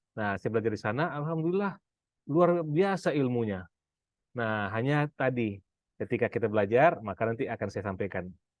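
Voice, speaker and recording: A man talks at a fairly quick pace in a medium pitch with very wide pitch swings. The sound is dry and close with no echo, over a quiet background. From Pekanbaru, Sumatra, Indonesia. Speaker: business and finance coach. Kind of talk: seminar talk. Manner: casual, with frequent fillers.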